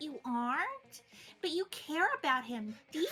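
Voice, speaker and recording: Putting on a character voice, a woman speaks in a high pitch with very wide pitch swings. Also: moderate pace. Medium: actual play. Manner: gushing, eager.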